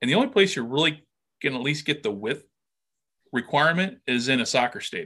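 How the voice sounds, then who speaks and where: Bright and sharp in tone, a man talks at a very fast pace in a fairly high pitch with lively intonation and long, frequent pauses. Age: 50s. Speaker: football podcaster and military reservist. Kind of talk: casual interview chat.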